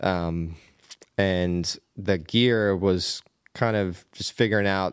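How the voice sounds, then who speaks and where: A man talks in a relaxed tone with a Pennsylvania accent. His pitch varies in an ordinary way. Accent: Pennsylvania American. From Pennsylvania, US. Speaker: cinematographer and adventurer. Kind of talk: casual interview chat. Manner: relaxed, friendly, laughs often.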